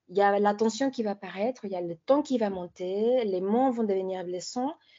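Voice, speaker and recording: A woman talks with a Spanish accent. Her pace is fairly quick. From Mexico. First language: Spanish (speaking French). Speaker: consultant on violence against women. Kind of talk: presentation.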